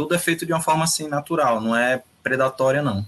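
Rather quick speech from a man, bright and sharp in tone, with normal rises and falls in pitch. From Rio de Janeiro, Brazil. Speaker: author and practitioner of hoodoo magic. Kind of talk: casual live-stream interview.

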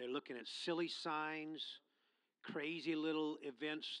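A man speaks fairly slowly in a bright, sharp tone. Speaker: pastor. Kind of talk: sermon. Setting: church.

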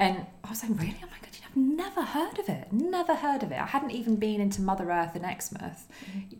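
A woman talks fairly quickly at a medium pitch with hardly any pauses, over noticeable background noise. Her pitch swings very widely, and her loudness shifts a lot. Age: 30s. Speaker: eco Facebook group founder. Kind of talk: casual chat.

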